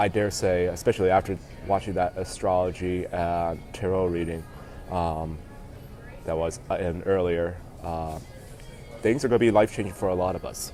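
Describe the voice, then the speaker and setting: A voice at a moderate pace with fairly even intonation and long, frequent pauses, set against music in the background. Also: man. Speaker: vlogger. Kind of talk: casual livestream monologue. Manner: halting, many fillers.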